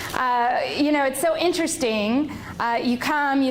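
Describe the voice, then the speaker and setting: An animated woman speaks at a high pitch. Noticeable background noise and audible room echo surround her voice. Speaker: leadership trainer. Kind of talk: conference presentation. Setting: stage with audience. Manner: loud.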